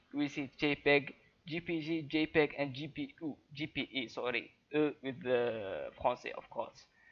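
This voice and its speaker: Speaking with a non-native accent, a man keeps a fairly high pitch, fairly even intonation and a fairly slow pace. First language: not English. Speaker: YouTuber. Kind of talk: tutorial. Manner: halting, many fillers.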